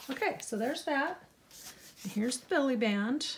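Light background noise underlies a woman's fairly high voice. She speaks at a moderate pace. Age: 50s. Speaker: crafting YouTuber. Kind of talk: crafting tutorial. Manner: casual, chatty. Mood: warm, pleased. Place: home room.

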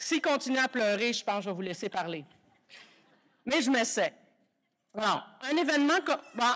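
Over a quiet background, a woman with a high pitch and very wide pitch swings talks at a moderate pace with long, frequent pauses. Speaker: university vice-rector. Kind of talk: formal speech. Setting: stage with audience. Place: hall. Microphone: podium.

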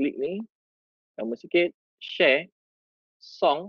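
In a Malaysian accent, the speaker talks at a very slow pace against a quiet background, with a dry sound and no echo. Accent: Malaysian Malay. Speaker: teacher and education officer; teacher or trainer. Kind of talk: tutorial. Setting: video call. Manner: casual, code-switching. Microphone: video call.

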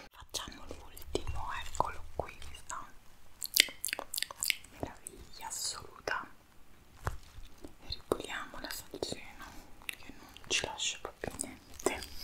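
A woman whispers very slowly, leaving long, frequent pauses. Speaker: ASMR creator. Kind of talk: ASMR eating video, casual talk to camera. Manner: whispering, soft talk. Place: home room. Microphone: studio mic.

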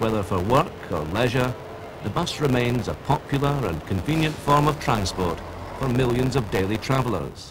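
Over noticeable background noise, a man speaks at a moderate pace and medium pitch with lively intonation. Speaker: documentary narrator. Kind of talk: scripted vintage-style documentary narration. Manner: formal, measured, authoritative, polished.

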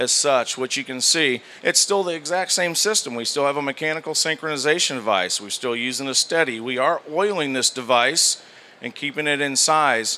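Ordinary ups and downs in pitch come at a moderate tempo. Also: man. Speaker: presenter. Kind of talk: product demonstration. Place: hall. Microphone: handheld.

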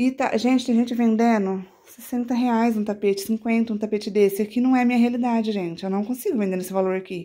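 With a quiet background, a woman speaks at a fairly quick pace with hardly any pauses. Her fairly high voice has a dark, mellow tone and fairly even intonation. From Brazil, São Paulo state (Catanduva); São Paulo state, Brazil. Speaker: crochet artisan and YouTuber; YouTuber. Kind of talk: casual show-and-tell tutorial. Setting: at home in her bedroom. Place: home room. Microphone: phone near.

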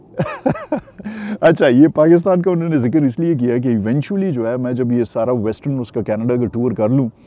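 The sound is dry with no echo. A man with a medium pitch speaks with lively intonation. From Pakistan, Peshawar; Pakistan. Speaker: travel vlogger, retired UN employee; travel vlogger. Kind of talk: casual vlog Q&A. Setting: in a car, then by a lake. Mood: relaxed, warm. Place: waterside. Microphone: phone near.

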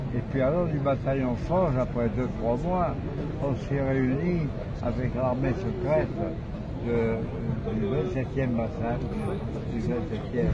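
Over loud background noise, a man talks at a very slow pace with long, frequent pauses. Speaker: war veteran, former resistance fighter. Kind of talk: interview answer. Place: street. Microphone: handheld.

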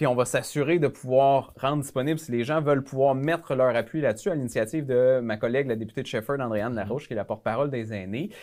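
A man with a fairly high pitch talking at a very fast pace against a quiet background. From Quebec. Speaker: member of parliament; guest. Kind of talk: casual interview. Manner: halting. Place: studio. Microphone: lapel.

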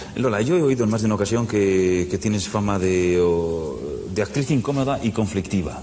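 A man at a fairly low pitch, with ordinary pitch variation, very even loudness and a moderate pace, over light background noise. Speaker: TV interviewer. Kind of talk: TV talk show host introduction and questions. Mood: warm, respectful. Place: studio. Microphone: lapel.

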